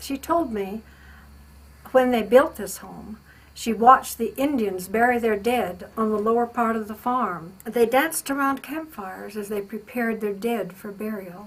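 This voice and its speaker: A woman with an American accent, somewhat breathy and fairly high-pitched, at a fairly slow pace with ordinary pitch variation. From Utah, US. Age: 70s. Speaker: local elder, family member of house builders. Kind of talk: personal recollection.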